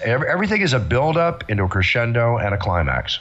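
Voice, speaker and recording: A man speaks with an American accent. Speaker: ring announcer. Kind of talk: interview answer.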